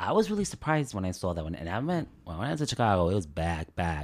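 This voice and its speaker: A man speaks with a very deep, low pitch and an American accent. His intonation is lively, and the recording is very clean with a silent background. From New Jersey (Elizabeth), Uruguayan parents. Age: 30s. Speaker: LGBTQ guest sharing life story. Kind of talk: casual interview chat.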